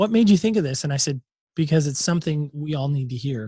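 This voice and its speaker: The sound is dry and close with no echo as a man speaks at a fairly high pitch with ordinary pitch variation. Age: 40s. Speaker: podcast host and former pastor. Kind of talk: interview. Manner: animated.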